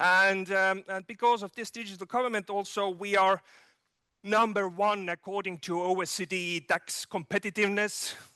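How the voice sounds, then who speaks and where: In an Estonian accent, a man with a high pitch projects a raised, bright, sharp voice at a moderate pace in monotone, flat intonation, the sound dry and close with no echo against a quiet background. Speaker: digital governance expert. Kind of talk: keynote speech. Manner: halting, many fillers.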